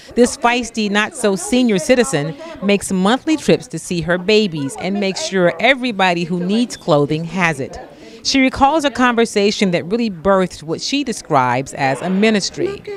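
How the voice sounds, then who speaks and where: Medium-pitched woman's voice with very wide pitch swings, over noticeable background noise. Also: moderate pace. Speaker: reporter. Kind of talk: news feature narration.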